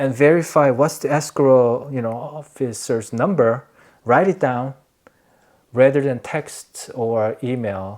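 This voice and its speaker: Speaking very slowly, a man with a Korean accent has a dark, mellow tone. His pitch is medium, with ordinary variation. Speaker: realtor. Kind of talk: tutorial. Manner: halting.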